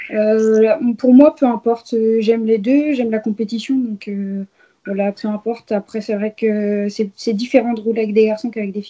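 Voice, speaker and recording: A woman speaks at a moderate pace with fairly even intonation. Her voice has a fairly high pitch and a dark, mellow tone. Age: 20s. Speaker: racing driver. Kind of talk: interview. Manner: hesitant, many fillers.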